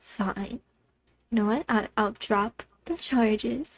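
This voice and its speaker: A shrill, female-sounding put-on character voice speaks at a fairly high pitch and a very slow pace. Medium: actual play. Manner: haughty, disdainful.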